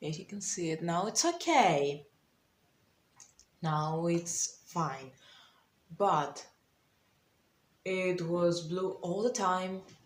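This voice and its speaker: With a non-native accent, the speaker moves at a very slow pace, leaving long, frequent pauses and using ordinary pitch variation. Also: woman, fairly low pitch for a woman. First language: not English. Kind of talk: casual storytime talk to camera.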